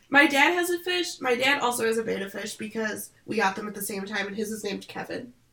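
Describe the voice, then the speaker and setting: Over noticeable background noise, a woman with an American accent talks at a very fast pace. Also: fairly high pitch for a woman, lively intonation. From Michigan, US Midwest. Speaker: podcast co-host. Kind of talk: casual chat. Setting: video call. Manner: chatty.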